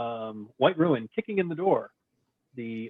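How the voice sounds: A natural reading voice, lively in intonation, over a quiet background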